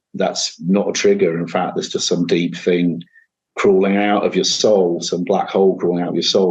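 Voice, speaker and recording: With a Manchester accent, a man talks at a fairly quick pace. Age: 50s. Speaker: singer-songwriter and guitarist. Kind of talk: interview conversation. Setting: home kitchen, remote call.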